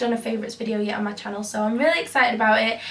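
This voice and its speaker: A woman speaks with audible room echo. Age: 20s. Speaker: beauty youtuber. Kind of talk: casual vlog talk.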